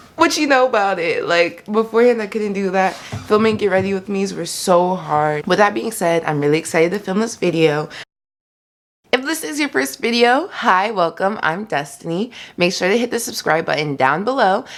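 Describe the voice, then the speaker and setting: A soft-spoken woman with an American accent talks at medium pitch and a moderate pace with lively intonation. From US South. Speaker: beauty vlogger, college student. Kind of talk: casual chat. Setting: home, filming makeup video. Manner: quiet, soft-spoken; chatty, filler-heavy.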